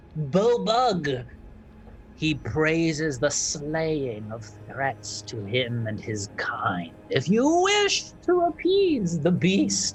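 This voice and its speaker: A man puts on a character voice at a fairly high pitch and a very slow pace. Clear background noise is present. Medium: actual play. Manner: cooing, grandmotherly, calls others dearie.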